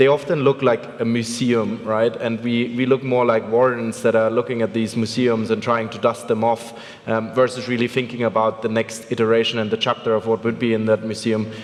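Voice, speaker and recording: Over noticeable background noise, a man with a German accent talks at a fairly quick pace with hardly any pauses, his medium pitch held in flat, monotone intonation. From Germany. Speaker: venture capital investor. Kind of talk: conference panel discussion.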